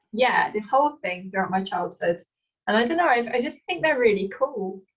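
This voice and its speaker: In an East Midlands accent, a woman speaks at a high pitch. Her pitch swings very widely. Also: moderate pace. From England, Leicester. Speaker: author. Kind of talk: casual chat.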